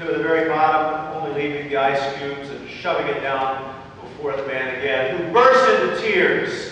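A man speaks at a moderate pace with lively intonation, his voice carrying strong room echo over light background noise. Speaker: pastor. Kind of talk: sermon. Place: church.

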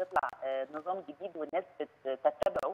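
Noticeable background noise fills the recording. Over it, a woman speaks at a moderate pace. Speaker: clinical nutrition consultant. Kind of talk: phone interview. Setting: phone call.

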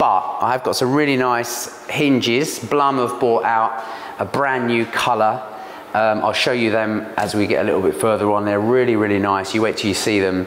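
A man speaks at a moderate pace with fairly even intonation and very even loudness. Room echo is audible, and light background noise sits underneath. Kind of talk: tutorial. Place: kitchen.

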